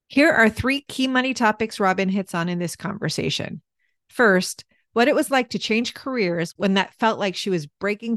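An unremarkable speaking voice from a woman, medium-pitched with lively intonation, at a moderate pace with a dry, close sound with no echo and a quiet background. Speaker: podcast host. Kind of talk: casual interview.

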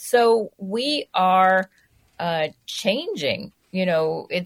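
An American accent with lively intonation on a very clean recording against a silent background. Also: woman. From New York City. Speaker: food writer. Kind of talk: radio interview.

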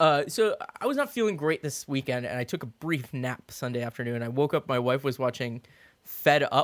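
Heard in a dry, close sound with no echo, a man with an ordinary speaking voice and a fairly high pitch talks at a fairly quick pace with ordinary pitch variation. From Florida. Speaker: podcast co-host. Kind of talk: casual chat.

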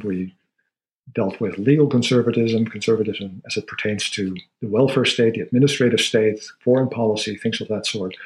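A man at medium pitch talks at a fairly quick pace, somewhat breathy, with ordinary pitch variation. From Netherlands. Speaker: sociology professor. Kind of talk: interview conversation.

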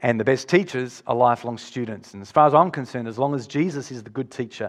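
A man speaks very fast in an Australian accent, his pitch medium. The background is quiet. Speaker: pastor. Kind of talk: sermon.

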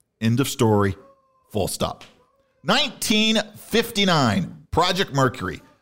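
Pitched fairly high, a man with vocal fry speaks at a fairly slow pace, his pitch swinging very widely. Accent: American. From US Midwest (Illinois). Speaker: podcast co-host. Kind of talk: casual chat. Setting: studio.

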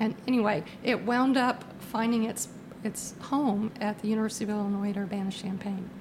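Against noticeable background noise, a woman with an American accent speaks at a fairly quick pace in a fairly high pitch with fairly even intonation. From Virginia. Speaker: theatre patron and sponsor. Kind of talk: casual interview.

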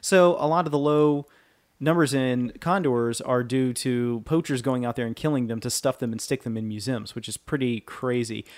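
A man with a normal speaking voice holds a medium pitch, ordinary pitch variation and a moderate pace. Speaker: podcast host. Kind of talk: casual podcast banter, minute-by-minute film recap. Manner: casual, chatty.

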